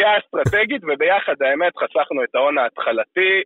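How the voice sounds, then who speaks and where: A man talks at a moderate pace. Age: 20s. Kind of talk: interview.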